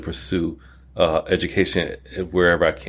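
In a very clean recording with a silent background, a man with a very deep, low pitch and vocal fry speaks at a moderate pace in a monotone, flat intonation. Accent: American. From Detroit, Michigan, US. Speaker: college dean of allied health. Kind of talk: casual interview.

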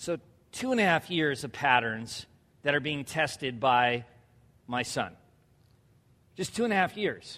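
A man speaks loudly at a fairly high pitch in a bright, sharp, animated tone with lively intonation, at a fairly slow pace with long, frequent pauses, on a very clean recording with a silent background. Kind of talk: sermon. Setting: church.

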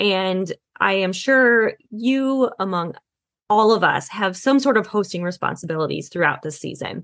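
A woman speaks at a moderate pace in a normal speaking voice. Her medium-pitched delivery has lively intonation. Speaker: podcast host. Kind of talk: casual interview chat.

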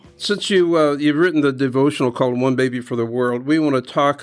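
On a very clean recording with a silent background, a man with an ordinary speaking voice talks at a medium pitch and a fairly quick pace. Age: 60s. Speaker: podcast host, ministry director. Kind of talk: interview.

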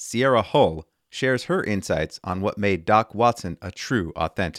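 A plain, everyday voice: a man at a fairly low pitch and moderate pace with lively intonation, dry and close with no echo, in a very clean recording with a silent background. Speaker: podcast host. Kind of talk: scripted podcast narration.

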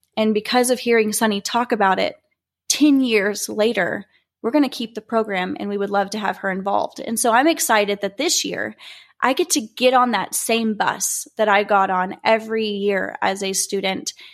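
In a plain, everyday voice, a woman with an American accent talks at a moderate pace, her fairly high pitch showing ordinary variation. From Oklahoma (Norman). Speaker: beauty pageant titleholder. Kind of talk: personal story monologue.

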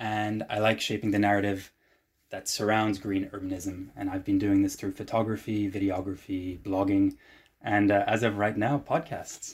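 This man has a fairly low voice and speaks at a moderate pace. His intonation is monotone and flat. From Normandy, France and Hamburg, Germany. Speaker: transport planner and mobility activist. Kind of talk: casual interview conversation. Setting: video call.

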